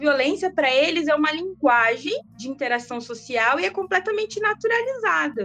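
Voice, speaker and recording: A woman at a moderate pace, her pitch swinging very widely, with music in the background. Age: 30s. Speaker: sociology teacher. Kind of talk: casual interview.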